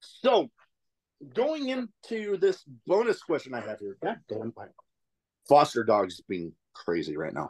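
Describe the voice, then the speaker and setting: The sound is dry and close, with no echo, as a man speaks with long, frequent pauses. His loudness swings a lot. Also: fairly slow pace. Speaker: podcast host, trivia quizmaster. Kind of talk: mock late-night infomercial parody pitch. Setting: home recording, dog in background. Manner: profane, jokey and loose.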